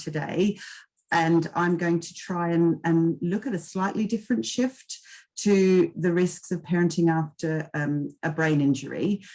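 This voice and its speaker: At a fairly slow pace, a woman with a slight Australian accent speaks in a dark, mellow tone, fairly low in pitch with ordinary pitch variation. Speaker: occupational therapist and case manager. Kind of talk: webinar presentation. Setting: online webinar.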